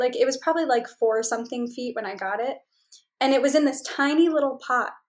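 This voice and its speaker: Recorded very cleanly against a silent background, a woman talks in a high pitch with an American accent. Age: 20s. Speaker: travel consultant and creative director. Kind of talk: casual interview.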